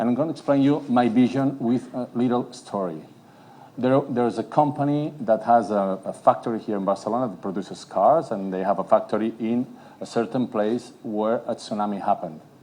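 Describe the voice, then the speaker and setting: A man's medium-pitched voice with a dark, mellow tone, ordinary pitch variation and a fairly quick pace. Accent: Catalan. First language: Catalan. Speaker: city politician. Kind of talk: conference panel talk. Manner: hesitant, many fillers.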